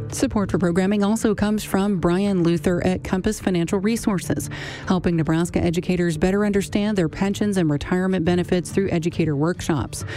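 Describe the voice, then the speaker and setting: A woman's fairly low, warm voice at a very fast pace, with hardly any pauses, very even loudness, ordinary pitch variation and noticeable background noise. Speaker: radio host. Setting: radio studio. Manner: smooth, brisk, warm and professionally even, with clear enunciation.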